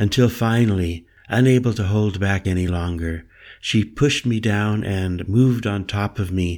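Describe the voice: Ordinary pitch variation in plain reading aloud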